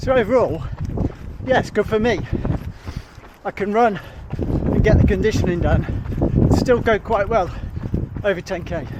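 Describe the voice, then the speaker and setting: A man with a British accent speaks in a high pitch with ordinary pitch variation, at a fairly slow pace. His speech has long, frequent pauses, and there is noticeable background noise. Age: 60s. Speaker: amateur duathlete vlogger. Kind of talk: casual vlog monologue.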